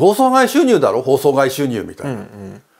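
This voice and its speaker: This man's voice has very wide pitch swings. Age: 60s. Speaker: retired TV documentary producer. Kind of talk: interview. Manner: halting.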